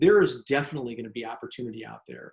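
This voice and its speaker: Speaking at a very fast pace, a man delivers his words at a fairly high pitch. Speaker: sales trainer and author. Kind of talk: interview.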